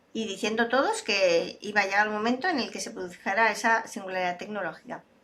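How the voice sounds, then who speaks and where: A woman talks with lively intonation in a bright, sharp tone. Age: 60s. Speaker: data and AI expert, speaker. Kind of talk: interview conversation.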